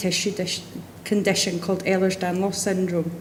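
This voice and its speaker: With a Scottish accent, a woman speaks at medium pitch and a moderate pace, with noticeable background noise and audible room echo. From Scotland. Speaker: patient speaker. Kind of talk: testimony.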